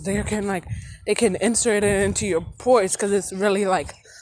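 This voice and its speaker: Music plays in the background. A woman talks at a medium pitch. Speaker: vlogger. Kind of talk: casual vlog monologue. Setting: outdoors, walking. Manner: loud and hyper; rambling, with many fillers.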